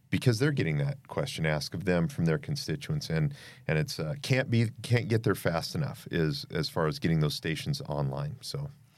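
A man with an American accent, fairly low in pitch with vocal fry and very wide pitch swings, at a moderate pace with hardly any pauses, on a very clean recording with a silent background. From Idaho. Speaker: fire chief. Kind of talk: interview. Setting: studio.

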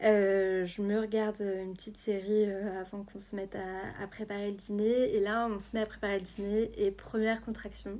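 A woman at a medium pitch and moderate pace, dark and mellow in tone, flat and monotone, with big swings in loudness and hardly any pauses. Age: 20s. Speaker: journalist and mother sharing birth story. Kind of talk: testimony.

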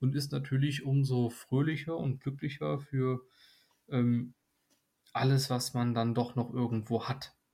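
On a very clean recording with a silent background, a man with a somewhat breathy voice at medium pitch talks at a very slow pace with fairly even intonation. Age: 20s. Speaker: nursing trainee. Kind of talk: casual chat.

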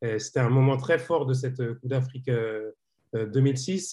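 A man's somewhat breathy, dark, mellow voice at a medium pitch, very slow in pace, with ordinary pitch variation over a quiet background. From Senegalese heritage. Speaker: football journalist. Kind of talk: casual chat. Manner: halting.

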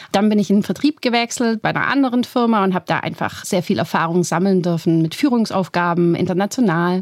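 A woman's very fast, lively-toned speech with hardly any pauses. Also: medium pitch for a woman. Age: 30s. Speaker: professor. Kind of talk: interview.

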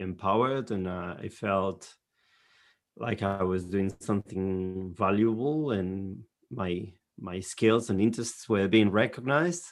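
A man with a European accent talks very slowly at a fairly low pitch, on a very clean recording with a silent background. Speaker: librarian. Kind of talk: casual chat. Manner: halting.

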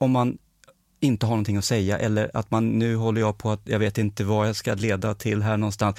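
In a very clean recording with a silent background, a man's voice comes through with a dry, close sound and no echo. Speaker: podcast host. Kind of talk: casual chat. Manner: firm, clear.

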